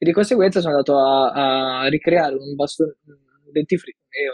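Fairly quick delivery from a man, his pitch varying in an ordinary way. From northern Italy, Milan. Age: 20s. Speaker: design graduate. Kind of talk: interview. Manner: halting.

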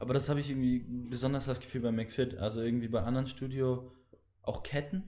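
A man with a dark, mellow tone speaks at a very fast pace in very even loudness and fairly even intonation, with audible room echo. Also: medium pitch for a man. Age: young. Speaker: podcast host. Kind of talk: casual chat.

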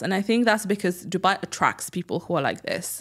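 In a very clean recording with a silent background, a woman speaks with ordinary pitch variation. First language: French. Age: 30s. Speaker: scientist and content creator. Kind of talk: casual interview.

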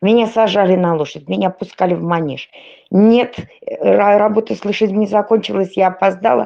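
In an ordinary speaking voice, a woman talks at a medium pitch and moderate pace with ordinary pitch variation. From Russian Far North (Polyarny). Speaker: podcast panelist. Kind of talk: casual chat.

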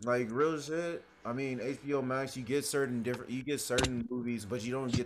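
A man's medium-pitched voice, a plain, everyday voice. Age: 20s. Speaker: podcast co-host. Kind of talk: casual chat.

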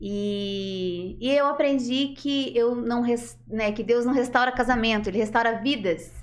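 A woman at a very slow pace, with ordinary pitch variation and audible room echo. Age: 40s. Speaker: natural therapies practitioner. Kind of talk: interview.

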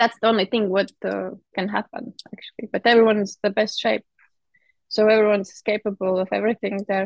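A woman with a Latvian accent speaks at a fairly quick pace in a medium pitch, her intonation flat and monotone, with a dry, close sound and no echo. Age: 30s. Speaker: heptathlete. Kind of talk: interview. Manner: halting.

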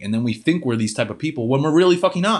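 Against a quiet background, a man talks in an energetic tone with ordinary pitch variation. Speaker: fitness coach podcast host. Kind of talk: motivational monologue. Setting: home office.

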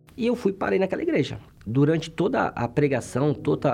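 At a moderate pace, a man with a fairly high pitch talks in a dark, mellow tone with vocal fry. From Brazil, interior of Bahia. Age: 40s. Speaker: military policeman. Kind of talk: testimony.

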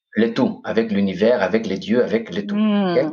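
This man's pitch swings very widely as he talks. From Greece, Corfu. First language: Greek (speaking French). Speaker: podcast host, meditation guest. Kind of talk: interview conversation. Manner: hesitant.

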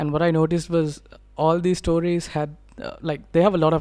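A woman talks at a fairly quick pace in a dark, mellow tone and a fairly low pitch, on a very clean recording with a silent background. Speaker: podcast host. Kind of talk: podcast interview. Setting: studio in Sri Lanka.

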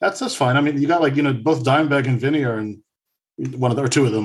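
Very fast pace from a man at medium pitch with ordinary pitch variation. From United States. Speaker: music podcaster, returning guest. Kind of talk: casual chat.

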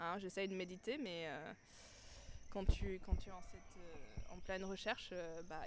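Her pitch medium and ordinary in variation, a woman speaks at a fairly slow pace. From France. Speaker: marketing professional. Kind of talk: casual chat. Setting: outdoors.

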